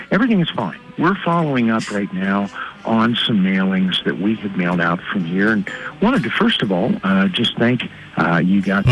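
Over background music, a man with a fairly low pitch speaks at a moderate pace with lively intonation. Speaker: bank telemarketer. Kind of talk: polite sales pitch. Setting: phone.

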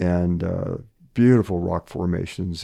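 A man with an American accent has a very deep, low pitch and a dark, mellow tone, heard against a quiet background. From Western Pennsylvania. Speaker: retired professor and sustainability educator. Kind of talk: interview conversation.

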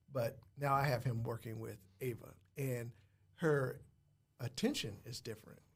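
Somewhat breathy and with an American accent, the voice moves at a moderate pace with fairly even intonation and long, frequent pauses. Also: man, medium pitch for a man. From Muncie, Indiana. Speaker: school principal and real estate investor. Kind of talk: casual interview chat.

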